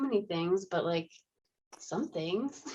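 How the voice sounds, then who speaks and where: With a Minnesota accent, a woman talks at a fairly slow pace, her pitch swinging very widely. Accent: Minnesota accent, a bit Canadian. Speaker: in-home euthanasia veterinarian. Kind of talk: podcast interview. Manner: casual, lots of filler words.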